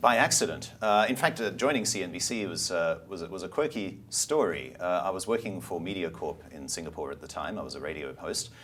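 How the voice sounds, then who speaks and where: At a fairly quick pace and with hardly any pauses, the speaker swings very widely in pitch and heavily in loudness, with vocal fry throughout. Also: man, very deep, low pitch for a man. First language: German. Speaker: media company CEO and former broadcaster. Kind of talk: interview. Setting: studio.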